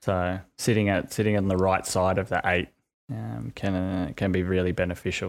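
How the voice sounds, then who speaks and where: In an Australian accent, a man with a very deep, low pitch talks at a moderate pace with ordinary pitch variation on a very clean recording with a silent background. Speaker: sports betting podcast co-host. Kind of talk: casual chat.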